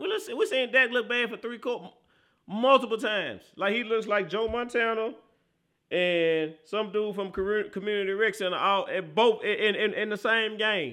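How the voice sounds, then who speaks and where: An animated tone at a moderate pace. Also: man, high pitch for a man. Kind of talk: sports talk analysis of a game, breaking down plays. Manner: animated, loud, slangy, emphatic and repetitive.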